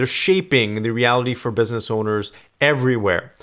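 A man with a normal speaking voice at medium pitch and a moderate pace, on a very clean recording with a silent background. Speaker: business podcast host. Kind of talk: solo educational talk.

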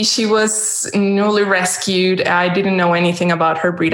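A woman speaks fairly slowly in a Spanish accent. Room echo can be heard. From Mexico. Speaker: dog trainer. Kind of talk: interview.

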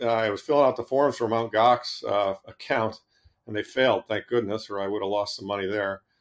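A man with an American accent talks at a fairly quick pace. His unremarkable speaking voice has fairly even intonation. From Boston, Massachusetts. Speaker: investment manager. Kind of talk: interview.

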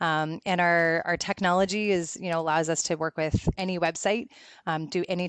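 A woman speaks with a Canadian accent at a fairly low pitch. The sound is dry and close with no echo, over a quiet background. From Canada. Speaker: tech company CEO. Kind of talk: casual interview. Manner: animated.

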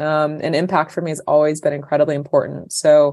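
A woman with an American accent and a very deep, low pitch talks at a fairly quick pace in a monotone, flat way. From US. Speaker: nonprofit founder. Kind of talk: interview conversation.

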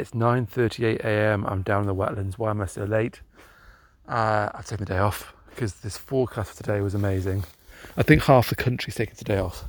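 With a British accent and a relaxed tone, a man speaks fairly quickly at a fairly low pitch with fairly even intonation, in a very clean recording with a silent background. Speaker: podcaster. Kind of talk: casual monologue. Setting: outdoors. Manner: relaxed, rambling pace.

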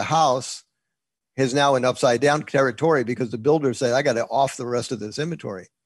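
A man with an American accent and a plain, everyday voice, medium pitch, fairly even intonation and a fairly quick pace, over a quiet background. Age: 60s. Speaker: real estate investor and educator. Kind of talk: interview. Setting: video call.

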